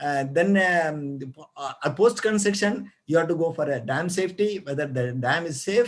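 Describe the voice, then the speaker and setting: With an Indian accent, a man talks at a fairly high pitch with lively intonation. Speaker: retired geologist. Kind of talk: lecture. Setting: video call. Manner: fast; halting.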